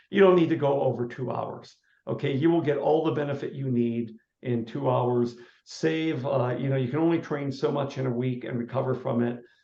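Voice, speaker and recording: A man talks at a moderate pace with medium pitch. He has an unremarkable speaking voice and fairly even intonation. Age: 60s. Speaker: running coach and author. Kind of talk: interview.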